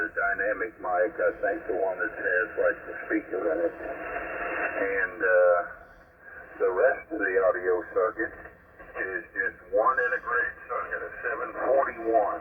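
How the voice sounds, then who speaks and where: A man's fairly slow speech full of long, frequent pauses over noticeable background noise. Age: 70s. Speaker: amateur radio operator. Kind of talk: ham radio contact, casual chat. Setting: radio transmission. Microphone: old dynamic mic on homebuilt transmitter.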